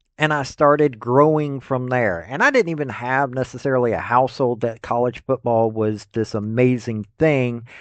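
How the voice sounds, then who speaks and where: In a Tennessee accent, a man speaks at a moderate pace. His pitch is medium, with ordinary variation. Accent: US Southern (Tennessee). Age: 50s. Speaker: sports commentator. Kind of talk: opinion commentary. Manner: casual, conversational.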